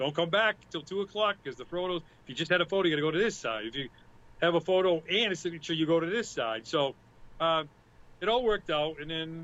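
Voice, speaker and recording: A man with a Boston accent speaks at a very fast pace in a high pitch, his pitch varying in an ordinary way. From Boston area, US. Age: 50s. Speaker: music fan and event volunteer. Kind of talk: casual chat. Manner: animated.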